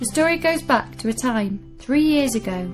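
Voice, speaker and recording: A woman's moderate-paced speech is accompanied by background music. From Newcastle, UK. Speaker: storyteller. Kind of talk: children's story reading.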